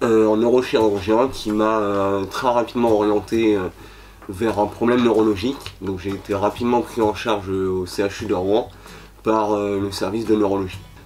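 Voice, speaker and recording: Noticeable background noise surrounds a man who speaks at a fairly low pitch in a monotone, flat intonation. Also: moderate pace. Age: 20s. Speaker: patient. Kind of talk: testimony. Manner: hesitant, many fillers.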